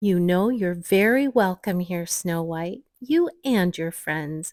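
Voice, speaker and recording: A female-sounding, put-on character voice at a middle pitch has a warm, gentle tone on a very clean recording with a silent background. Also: fairly slow pace. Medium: read story.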